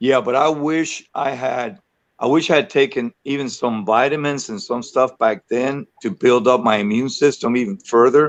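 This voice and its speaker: With ordinary pitch variation, a man holds a medium pitch and talks at a moderate pace. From Cuban-American. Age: 60s. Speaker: artist. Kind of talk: casual interview chat. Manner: animated.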